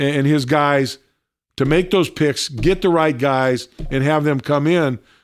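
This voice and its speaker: In a very clean recording with a silent background, a man with a fairly high pitch speaks at a fairly slow pace, using ordinary pitch variation. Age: 60s. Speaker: radio host. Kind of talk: casual sports talk. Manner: halting, repeats words.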